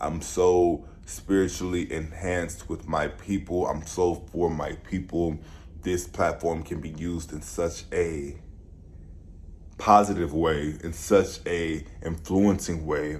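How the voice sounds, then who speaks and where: Audible room echo surrounds a man speaking at a very slow pace with a very deep, low pitch and fairly even intonation. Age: 20s. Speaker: vlogger and musician. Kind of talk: vlog monologue.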